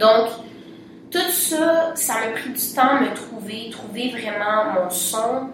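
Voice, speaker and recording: A woman speaks very slowly at a fairly high pitch with lively intonation and big swings in loudness, with audible room echo and noticeable background noise. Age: young. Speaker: singer. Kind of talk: casual interview.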